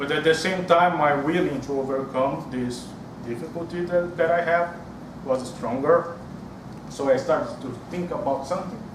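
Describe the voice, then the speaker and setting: A man with a strong Brazilian accent talks over noticeable background noise and audible room echo. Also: ordinary pitch variation, moderate pace. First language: Portuguese. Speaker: public speaking club member. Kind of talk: prepared speech. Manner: halting.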